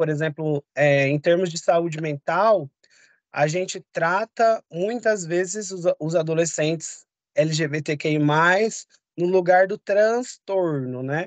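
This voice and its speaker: With lively intonation and a high pitch, a man speaks at a very slow pace in a dry sound with no echo over a quiet background. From São Paulo, East Zone; São Paulo, Brazil. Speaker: public health specialist; course lecturer. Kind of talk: online lecture. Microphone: video call.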